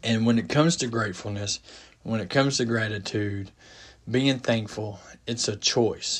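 This man has a medium-pitched, somewhat breathy voice. He keeps a moderate pace and fairly even intonation. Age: 40s. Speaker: podcast host. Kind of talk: solo monologue. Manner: halting, many fillers; casual.

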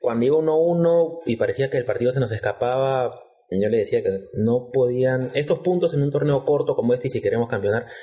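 A man is speaking. His pace is moderate. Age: 30s. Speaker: football podcast co-host. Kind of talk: casual chat.

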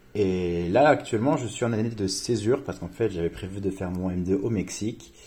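A man speaks at a moderate pace in a fairly low pitch, his dark, mellow tone carrying ordinary pitch variation. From France, Reims. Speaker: student. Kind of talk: casual interview.

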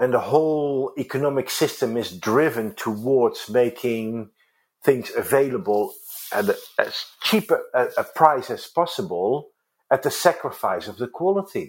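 Recorded very cleanly against a silent background, a man with a Dutch accent speaks at a fairly high pitch. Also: fairly slow pace. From Netherlands. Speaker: organic salon co-founder. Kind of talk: interview. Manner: halting.

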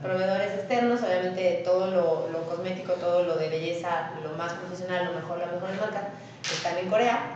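Amid noticeable background noise and audible room echo, a woman speaks at a fairly quick pace with a medium pitch and fairly even intonation. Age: 30s. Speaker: entrepreneur, salon and fitness business owner. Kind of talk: interview. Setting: studio with cameras, live recording.

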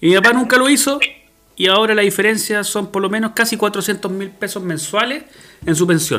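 With a raised, projected voice, a man speaks at a high pitch and a moderate pace, with ordinary pitch variation. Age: 40s. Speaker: podcast host. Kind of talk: casual chat.

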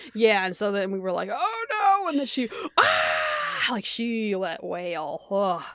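A woman speaks with an animated tone at a fairly slow pace. Audible room echo and noticeable background noise are present. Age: 30s. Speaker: podcast co-host. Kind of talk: casual chat.

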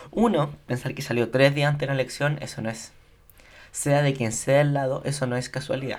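A man's medium-pitched voice with fairly even intonation and noticeable background noise. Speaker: political commentator. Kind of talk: casual political commentary. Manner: halting, with fillers.

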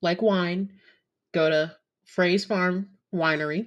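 A woman's fairly low voice at a very slow pace. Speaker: podcast host and nursing assistant. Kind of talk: casual monologue. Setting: home recording. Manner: many filler ums.

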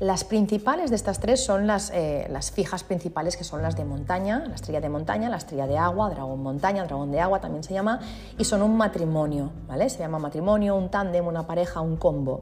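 A woman talks at a fairly quick pace with hardly any pauses, her pitch fairly low and her intonation lively. Audible room echo and noticeable background noise come through. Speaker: feng shui consultant and podcast host. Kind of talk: solo podcast monologue, explanatory. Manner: informal and conversational.

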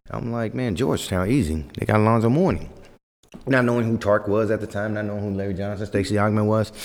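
His pitch is fairly low, and his accent is American. The man speaks very fast. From US West Coast, Fresno, California. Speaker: former pro basketball player and youth coach. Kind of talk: casual chat.

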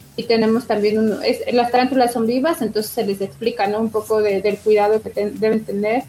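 A woman talks at a moderate pace in a fairly high pitch with ordinary pitch variation over noticeable background noise. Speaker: museum coordinator. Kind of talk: interview.

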